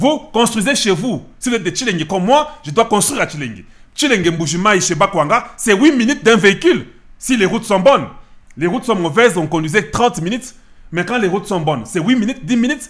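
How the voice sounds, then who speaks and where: Over a quiet background, a man talks at a fairly quick pace with a high pitch and lively intonation. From DR Congo, Kasai; DR Congo. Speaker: political commentator, online channel host; political commentator. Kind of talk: political commentary monologue. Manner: emphatic, repetitive. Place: office. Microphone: studio mic.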